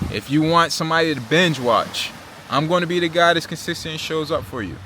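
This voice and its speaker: A man with an American accent talks at a moderate pace in a fairly high pitch. Noticeable background noise runs under his voice. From Virginia Beach, Virginia, US. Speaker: travel vlogger. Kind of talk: casual vlog monologue. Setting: eating while filming. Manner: animated, conversational.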